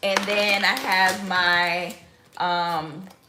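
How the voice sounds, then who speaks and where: A woman speaks with audible room echo and music playing in the background. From Mississippi, Biloxi. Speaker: lifestyle vlogger. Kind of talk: casual cooking vlog.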